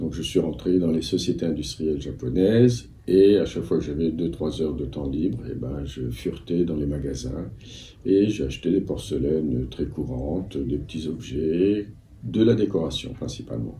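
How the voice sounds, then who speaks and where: A man with a very deep, low voice, vocal fry and a dark, mellow tone speaks at a moderate pace with lively intonation, and room echo is audible. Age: 60s. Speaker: antiques dealer. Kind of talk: interview. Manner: hesitant, many fillers.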